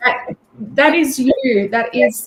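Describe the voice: Her voice fairly high with a slightly husky edge, a woman speaks at a fairly slow pace with lively intonation.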